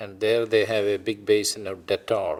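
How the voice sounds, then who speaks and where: Speaking with an Indian accent, a man talks at a very slow pace. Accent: Indian, noticeable. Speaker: retired physician. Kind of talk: oral history interview.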